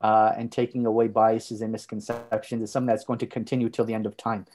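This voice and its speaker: A man with a Montreal accent, medium pitch and a dark, mellow tone, talking at a very fast pace against a quiet background. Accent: Canadian English, Montreal. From Canada, Montreal. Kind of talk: interview. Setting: podcast.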